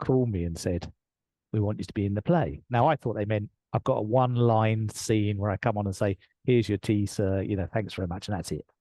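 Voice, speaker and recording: A man with an English accent speaks at a fairly quick pace in a fairly low voice. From England. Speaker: leadership coach. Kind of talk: interview storytelling. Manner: animated.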